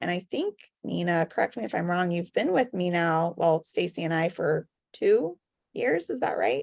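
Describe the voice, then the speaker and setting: A woman talks in an ordinary speaking voice at a medium pitch and moderate pace, her intonation lively. The recording is very clean, dry and close, with a silent background and no echo. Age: 40s. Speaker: wellness product promoter. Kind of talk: sales pitch.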